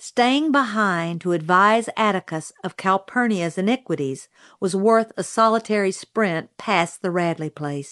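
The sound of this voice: An unforced reading voice. The background is quiet.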